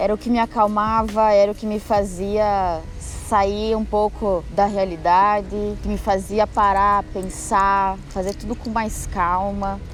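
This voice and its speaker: Woman's medium-pitched voice with music in the background. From southern Brazil, western Santa Catarina. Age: 20s. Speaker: muralist. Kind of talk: personal testimony.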